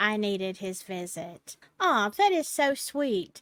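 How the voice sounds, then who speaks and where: In a Southern US accent, a woman speaks at a very slow pace with very wide pitch swings, the recording very clean with a silent background. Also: dry, close sound with no echo. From US South, Alabama. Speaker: storytelling channel host. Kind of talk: reading aloud; casual chat.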